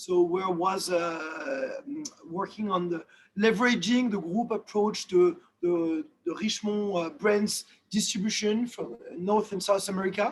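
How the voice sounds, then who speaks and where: The speech comes at a fairly slow pace in a French accent. Pitch variation is ordinary. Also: man, high pitch for a man. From France. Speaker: watch industry executive. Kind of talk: webinar interview. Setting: video call. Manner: halting, many fillers.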